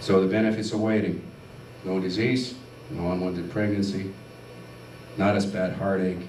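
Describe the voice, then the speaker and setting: A man with a fairly low voice speaks at a moderate pace, leaving long, frequent pauses and using ordinary pitch variation. There is audible room echo along with noticeable background noise. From Finland. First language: Finnish. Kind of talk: testimony. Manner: animated.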